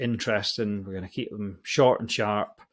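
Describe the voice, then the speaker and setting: A man with a Scottish accent, fairly low pitch and a moderate pace. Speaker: podcast host. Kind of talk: casual announcement to listeners. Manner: hesitant, lots of fillers.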